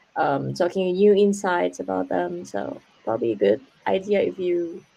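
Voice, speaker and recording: The woman speaks with a slight English accent. Her pace is moderate. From Indonesia. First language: Indonesian. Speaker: international master's student. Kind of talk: webinar interview, Q&A. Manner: halting, many fillers.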